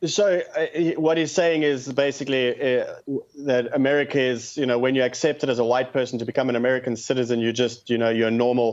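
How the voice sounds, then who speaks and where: A man with a South African accent speaks fairly quickly at a medium pitch, his loudness very even and his intonation fairly even. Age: 30s. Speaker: activist. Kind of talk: radio call-in interview.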